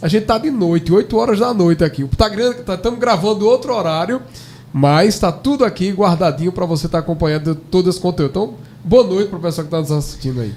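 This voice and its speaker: A man in a northeastern Brazilian accent, high-pitched, lively in intonation, at a fairly quick pace. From Brazilian Northeast. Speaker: pastor. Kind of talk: podcast conversation.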